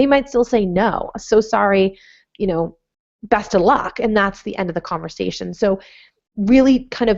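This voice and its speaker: In an American accent, a woman speaks with a fairly high pitch and ordinary pitch variation. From Massachusetts, Plymouth. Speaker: cannabis entrepreneur. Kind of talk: webinar interview. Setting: live webinar. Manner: fast.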